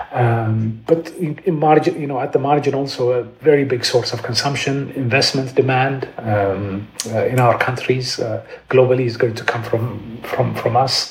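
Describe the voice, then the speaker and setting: A man speaks with fairly even intonation and hardly any pauses. Noticeable background noise is present. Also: medium pitch for a man, moderate pace. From Ethiopia, Addis Ababa. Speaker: economist. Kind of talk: interview. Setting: video call from home.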